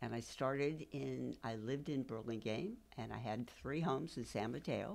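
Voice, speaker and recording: A woman with an American accent speaks at a moderate pace in a very deep, low voice with vocal fry and ordinary pitch variation. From San Francisco Peninsula, California. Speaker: military spouse. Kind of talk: interview.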